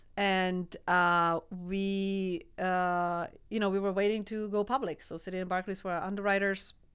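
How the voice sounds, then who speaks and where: A woman speaks at a moderate pace and medium pitch in a Czech accent. Her intonation is monotone and flat, on a very clean recording with a silent background. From Czech Republic, small village. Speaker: energy company executive. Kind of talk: interview.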